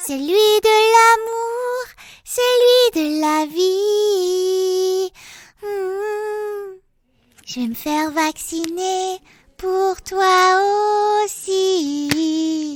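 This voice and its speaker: In a put-on character voice, a woman talks in a squeaky, extremely high pitch at a very slow pace, leaving long, frequent pauses. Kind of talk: parodic bedtime story. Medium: read story. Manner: wry, playful, mock-solemn.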